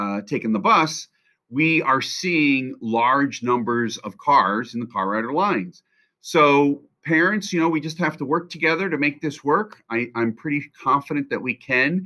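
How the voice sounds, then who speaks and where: In a quiet background, the voice has a bright, sharp tone and lively intonation. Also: man, moderate pace. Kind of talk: announcement to parents. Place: office. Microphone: webcam.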